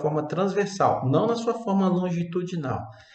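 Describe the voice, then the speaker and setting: Audible room echo surrounds a man whose intonation is lively. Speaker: university lecturer. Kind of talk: lecture.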